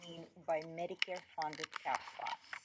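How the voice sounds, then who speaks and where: Someone with a non-native accent talks at a fairly slow pace over noticeable background noise. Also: woman. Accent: foreign. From Moldova. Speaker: healthcare administrator. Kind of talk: committee presentation.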